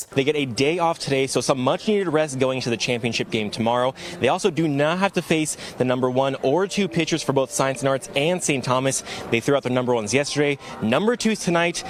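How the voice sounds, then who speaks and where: A man talks at a very fast pace in a fairly high pitch with ordinary pitch variation and an energetic, excited tone, over noticeable background noise. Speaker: sports reporter and anchor. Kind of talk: sports news reporter package voiceover.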